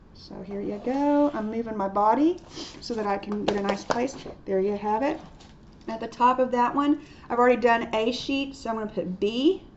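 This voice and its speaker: A woman's loudness swings a lot as she talks at a fairly high pitch. Her pitch variation is ordinary, and background noise is noticeable. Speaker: art teacher. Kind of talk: tutorial. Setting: recorded video lesson. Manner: fast.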